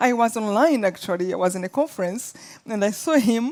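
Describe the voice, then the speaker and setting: A woman with a dark, mellow tone talks at a fairly quick pace, her pitch making very wide swings. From Rwanda. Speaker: author and motivational speaker. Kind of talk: interview storytelling. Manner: halting.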